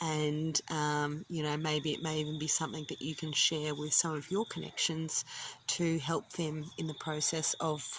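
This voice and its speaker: In an Australian accent, a woman with a very deep, low pitch talks at a moderate pace in a monotone, flat way. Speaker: vlogger. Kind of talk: casual vlog talk. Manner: casual, frequent ums.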